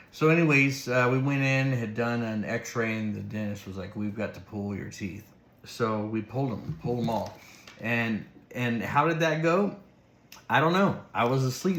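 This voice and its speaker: A man speaks at a moderate pace with a medium pitch and lively intonation. There is audible echo from the room. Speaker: vlogger documenting new dentures. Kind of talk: casual vlog recap. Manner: slightly slurred speech; halting, many fillers.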